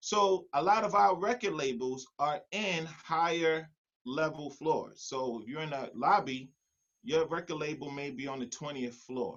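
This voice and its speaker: With a New York accent, a man talks at a fairly slow pace and a fairly high pitch, his tone animated and his intonation lively. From New York City. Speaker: music producer. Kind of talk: online workshop presentation.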